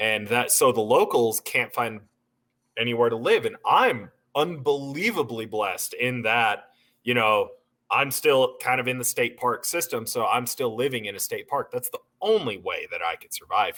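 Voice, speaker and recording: A man with an American accent speaks at a moderate pace, his loudness swinging widely. The recording is very clean with a silent background. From Southern California. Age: 20s. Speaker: brewer, podcast guest. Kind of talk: casual chat.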